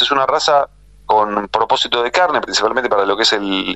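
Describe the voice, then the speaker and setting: A man talks in an ordinary speaking voice at medium pitch. His intonation is lively. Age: 40s. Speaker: livestock journalist. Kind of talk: radio interview.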